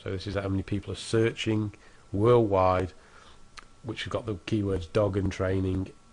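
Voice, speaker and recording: In a British accent, a somewhat breathy man speaks at a moderate pace in a fairly low, monotone, flat pitch against a quiet background. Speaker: internet marketing tutor. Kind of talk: screen-recorded tutorial. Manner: casual, with fillers and false starts.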